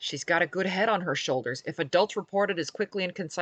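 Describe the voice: This recording is plain reading aloud.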